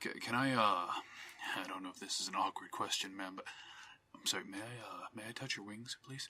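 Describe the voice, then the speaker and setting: In a put-on character voice, a man speaks at a medium pitch. The delivery is breathy and fairly quick. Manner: shaking, nervous.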